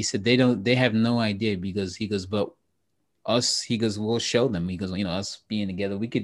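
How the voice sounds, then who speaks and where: A man talks at a fairly quick pace in a fairly low pitch. His intonation is monotone and flat over a quiet background. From Trinidad and Tobago. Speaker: actor. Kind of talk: casual chat.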